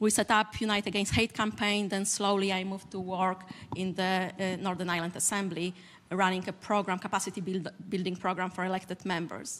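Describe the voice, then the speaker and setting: A woman speaks in an unvarying, monotone way with a Polish accent. Her pitch sits in the medium range. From Poland. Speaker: civil society leader, panelist. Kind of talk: panel discussion statement. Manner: halting.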